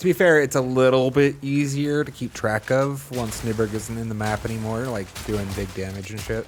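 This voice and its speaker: Over noticeable background noise, a man talks at a moderate pace with hardly any pauses. His medium pitch varies in an ordinary way. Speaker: video game streamer. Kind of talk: live gameplay commentary.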